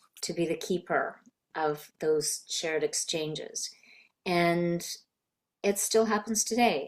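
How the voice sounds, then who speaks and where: In a very clean recording with a silent background, a woman talks in a plain, everyday voice, fairly low in pitch with ordinary pitch variation. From Canada. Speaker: voice actor. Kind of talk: interview answer. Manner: warm, sincere.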